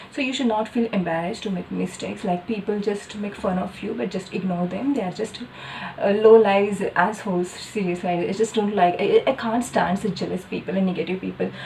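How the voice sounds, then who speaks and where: A woman's medium-pitched voice moves fairly quickly with ordinary pitch variation as noticeable background noise sounds behind it. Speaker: doctor and vlogger. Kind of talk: casual vlog monologue. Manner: hesitant, with fillers.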